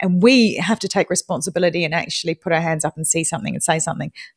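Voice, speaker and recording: A woman with a New Zealand accent speaks in a fairly low, somewhat breathy voice with ordinary pitch variation, recorded with a dry, close sound and no echo. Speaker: podcaster. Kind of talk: casual chat. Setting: live audio room. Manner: animated.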